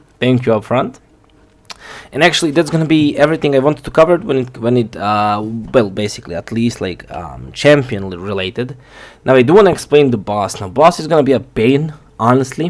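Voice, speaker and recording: Using lively intonation, a man with a non-native accent speaks at a fairly quick pace in a medium pitch. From outside the US, non-English-speaking country. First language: not English. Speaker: gaming youtuber. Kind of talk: game guide tutorial. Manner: halting, many fillers; casual.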